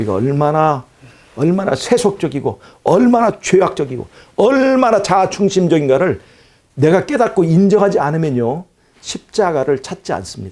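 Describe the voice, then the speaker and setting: Here a man speaks with a high-pitched voice. His pitch swings very widely. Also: moderate pace. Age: 60s. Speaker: preacher. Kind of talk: sermon.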